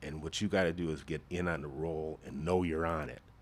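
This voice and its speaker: This man speaks at a moderate pace. Vocal fry runs through his voice. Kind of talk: casual chat. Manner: loud.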